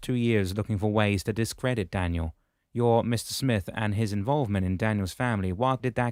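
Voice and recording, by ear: The voice reads aloud naturally, with ordinary pitch variation and a quiet background behind it.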